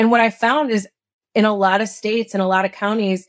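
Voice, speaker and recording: In a very clean, dry, close recording with no echo and a silent background, a woman speaks in an ordinary speaking voice at a medium pitch with fairly even intonation. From Illinois, small town outside Chicago. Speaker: former congressional candidate. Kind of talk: interview conversation.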